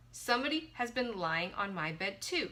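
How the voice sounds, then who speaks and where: Putting on a growling character voice, a woman speaks at a moderate pace in a medium pitch. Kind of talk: bedtime story. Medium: read story. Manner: fussy, questioning.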